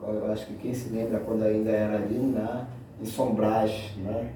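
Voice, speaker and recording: With noticeable background noise and audible room echo, a man speaks at a moderate pace and a fairly low pitch with fairly even intonation. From Brazil, Belém, Pará. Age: 50s. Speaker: community activist. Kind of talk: casual meeting self-introduction. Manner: halting.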